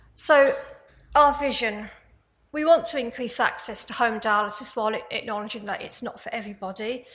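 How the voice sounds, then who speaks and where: Big swings in loudness mark this woman's voice. She speaks at a fairly high pitch with ordinary pitch variation. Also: fairly quick pace. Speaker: service improvement nurse. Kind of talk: conference presentation. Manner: fast; hesitant with fillers.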